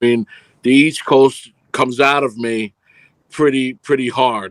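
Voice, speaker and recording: This man has a strong New York accent. He speaks at a fairly slow pace. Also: medium pitch for a man, fairly even intonation. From New York (Brooklyn, Queens). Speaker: film producer and director. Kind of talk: casual interview.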